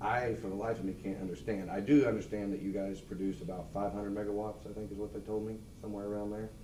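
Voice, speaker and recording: A man's fairly low, dark and mellow voice in an American accent, very fast with hardly any pauses and fairly even intonation, with audible room echo. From Missouri, Lafayette County. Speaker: public commenter at meeting. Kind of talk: public comment. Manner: loud.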